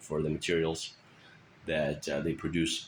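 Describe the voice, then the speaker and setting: With a Russian accent, a man speaks in a very deep, low voice. His intonation is fairly even. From Russia, moved to US at 13. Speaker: teacher. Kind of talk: self-introduction. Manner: hesitant, many fillers.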